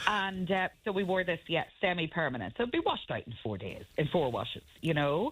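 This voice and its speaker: Her pitch swings very widely around a fairly low base, with vocal fry. The woman speaks at a fairly quick pace with hardly any pauses. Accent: Northern Irish. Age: 50s. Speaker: radio guest. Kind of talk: casual chat. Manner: animated.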